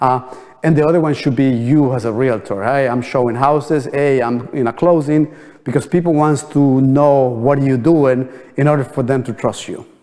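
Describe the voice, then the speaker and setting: A man speaks at a fairly quick pace with a non-native accent. His pitch is medium and his intonation fairly even. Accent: foreign. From New Jersey, US. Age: 50s. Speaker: real estate trainer. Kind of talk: training seminar. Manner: halting, many fillers.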